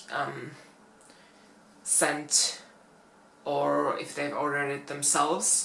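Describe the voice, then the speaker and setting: With a Finnish accent, a woman speaks very slowly, and the room echo is audible. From Finland. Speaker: plus-size fashion YouTuber. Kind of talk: casual vlog talk. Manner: hesitant, many fillers.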